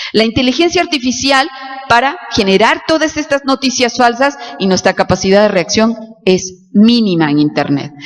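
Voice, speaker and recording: A woman's fairly high voice with very wide pitch swings and very even loudness over background music. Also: moderate pace. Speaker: law professor. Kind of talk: lecture. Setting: auditorium with audience.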